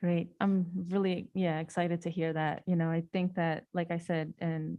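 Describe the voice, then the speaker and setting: Her pitch is fairly low and her intonation monotone and flat. The woman keeps a moderate pace and very even loudness. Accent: Spanish. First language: Spanish. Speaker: school board member. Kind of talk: board meeting discussion. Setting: public board meeting.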